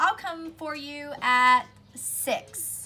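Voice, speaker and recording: A put-on character voice from a woman, pitched high. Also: very clean recording, silent background. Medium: read story. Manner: wheedling, scheming.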